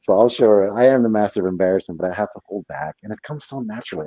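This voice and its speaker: Speaking very fast with a Spanish accent, a man uses a fairly low pitch and big swings in loudness. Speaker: live stream guest. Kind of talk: casual chat. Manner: animated.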